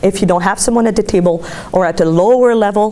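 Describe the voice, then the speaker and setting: A woman with a Quebec accent at a fairly quick pace, ordinary pitch variation, and noticeable background noise. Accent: Québécois French accent in English. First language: French. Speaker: graduate student presenting research. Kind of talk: academic presentation.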